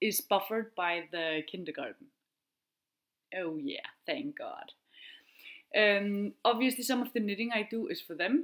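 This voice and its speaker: Talking at a moderate pace with an Icelandic accent, a woman uses a fairly high pitch and very wide pitch swings. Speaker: knitting podcaster and veterinarian. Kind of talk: casual chat. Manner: chatty, hesitant with fillers.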